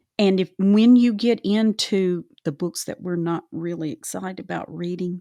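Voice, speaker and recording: At a fairly slow pace, a woman with a Southern US accent and a medium pitch speaks in a dark, mellow tone, with a dry, close sound with no echo on a very clean recording with a silent background. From US South. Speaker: Bible study podcast host. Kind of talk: casual Bible discussion.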